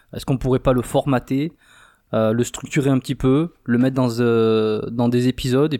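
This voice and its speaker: A man with a medium pitch and a dark, mellow tone speaks at a fairly slow pace. The recording is very clean with a silent background, dry and close with no echo. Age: 30s. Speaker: podcast co-host, dating coach. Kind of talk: casual chat. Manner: animated.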